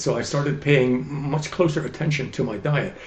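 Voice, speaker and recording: The man's voice is somewhat breathy and fairly high in pitch, moving at a moderate pace. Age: 80s+. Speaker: chemist and health coach. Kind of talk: interview answer.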